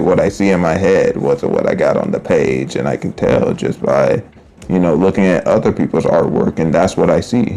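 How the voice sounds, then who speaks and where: A man mumbles at a moderate pace over noticeable background noise. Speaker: artist streamer. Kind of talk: casual live-stream talk while drawing. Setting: live stream. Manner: mumbling; slurring words together.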